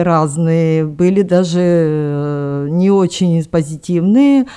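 Ordinary pitch variation in a woman's fairly low-pitched voice. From Khakassia, Siberia, Russia. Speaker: director of a home social care nonprofit. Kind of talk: recorded panel discussion. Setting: media center hall with live audience.

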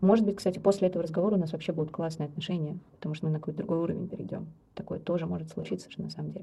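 A woman talks at a very fast pace with a fairly low pitch. Her tone is dark and mellow, with vocal fry. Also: fairly even intonation. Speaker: psychologist and death doula. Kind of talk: interview.

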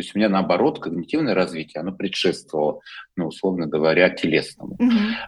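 Lively intonation runs through this very fast delivery. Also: man, very deep, low pitch for a man. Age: 50s. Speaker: dance movement therapist. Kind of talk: interview.

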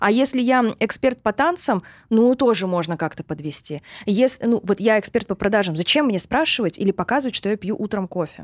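Lively intonation and a fairly quick pace mark this woman's plain, everyday voice with its fairly high pitch. The recording is very clean with a silent background and a dry, close sound with no echo. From Russia, Surgut. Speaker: online sales and marketing expert. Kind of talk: podcast interview.

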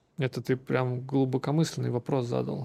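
The voice is dark and mellow, a little breathy, and its intonation stays fairly even. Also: man. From Russia, Samara. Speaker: tech executive. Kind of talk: interview.

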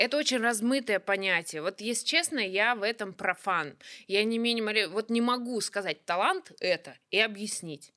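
Bright and sharp, a woman's fairly high voice carries lively intonation on a very clean recording with a silent background and a dry, close sound with no echo. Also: moderate pace. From Russia, Kuzbass (Kemerovo). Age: 30s. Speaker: stand-up comedian. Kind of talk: casual chat.

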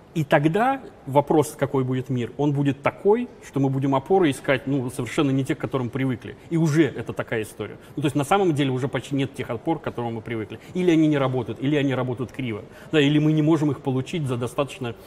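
At a very fast pace, a man delivers his words in a medium pitch. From former Soviet Union. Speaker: business trainer. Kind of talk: interview.

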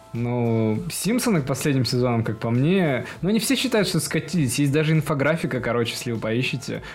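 A man speaks at a fairly quick pace with hardly any pauses, his fairly high voice full of lively intonation. Noticeable background noise runs underneath. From Russia, Perm. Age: 20s. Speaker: cartoon fan community admin, petroleum engineer. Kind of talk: casual chat. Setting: studio.

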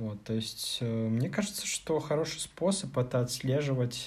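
With a dark, mellow tone and a somewhat breathy quality, a man speaks at a medium pitch and a very slow pace. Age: 30s. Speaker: podcast co-host, programmer. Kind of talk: casual chat.

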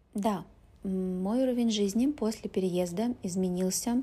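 Her voice has a dark, mellow tone and is somewhat breathy. This woman talks at a very slow pace. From Russia, Urals (Pervouralsk, Yekaterinburg). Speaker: Russian language teacher. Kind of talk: interview. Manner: slow, clear speech for learners.

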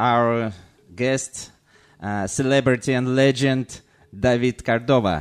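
With a Russian accent, a man speaks at medium pitch and a very slow pace, with ordinary pitch variation and long, frequent pauses. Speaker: podcast host. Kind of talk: podcast intro.

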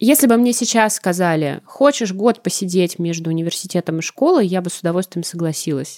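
With lively intonation, a woman speaks at a fairly quick pace with hardly any pauses. She has an unremarkable speaking voice at a medium pitch. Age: 20s. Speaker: TV editor. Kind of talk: casual chat.

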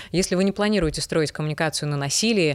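A very clean recording with a silent background carries a woman's fairly low voice. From Belarus. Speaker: voice trainer, former news presenter. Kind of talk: interview, explanatory talk.

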